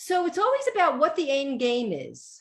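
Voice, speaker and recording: This woman's pitch swings very widely in an animated tone. She speaks with a New York accent. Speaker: organization coach. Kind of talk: radio interview.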